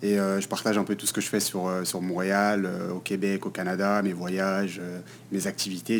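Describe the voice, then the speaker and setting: A man's very deep, low voice in a Paris suburban accent, monotone and flat, at a moderate pace. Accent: Parisian suburban French. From Paris region, France (Val-d'Oise / Hauts-de-Seine). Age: 20s. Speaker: content creator. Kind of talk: podcast interview. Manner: hesitant, many fillers.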